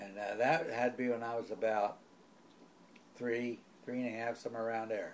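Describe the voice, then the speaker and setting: A man with an American accent speaks at a fairly quick pace and medium pitch, with monotone, flat intonation. Long, frequent pauses break his speech, and there is noticeable background noise. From New Jersey and Philadelphia area, US. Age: 80s+. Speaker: family elder interviewed about his life. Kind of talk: oral history interview. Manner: halting, with many pauses and self-corrections.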